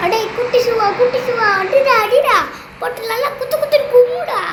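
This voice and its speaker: A woman speaks in an energetic tone at an extremely high pitch, with noticeable background noise. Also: ordinary pitch variation. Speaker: gameplay commentator and voice-over artist. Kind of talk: comic gameplay voice-over. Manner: energetic, comic.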